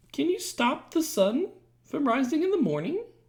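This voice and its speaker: A squeaky, high-pitched put-on character voice at a moderate pace. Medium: read story.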